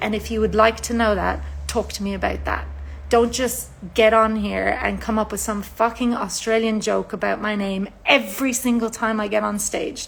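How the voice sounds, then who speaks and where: A woman talks with an Irish accent at a moderate pace. Noticeable background noise can be heard. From Ireland. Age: 40s. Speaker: singer-songwriter. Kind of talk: livestream monologue.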